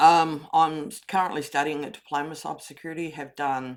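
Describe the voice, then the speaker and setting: Speaking at a moderate pace, a woman with an Australian accent has a very deep, low pitch, and the recording is very clean with a silent background. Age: 60s. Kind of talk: personal testimony.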